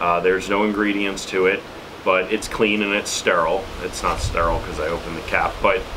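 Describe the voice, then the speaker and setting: A man with an American accent speaks at a moderate pace over noticeable background noise. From New York City. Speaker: YouTuber reviewing survival gear; preparedness vlogger. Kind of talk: product tutorial. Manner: casual with frequent fillers. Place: home room.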